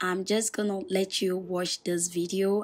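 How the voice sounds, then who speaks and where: The speech is very slow, on a very clean recording with a silent background. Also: woman. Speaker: hair tutorial youtuber. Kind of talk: tutorial. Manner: strained, forced.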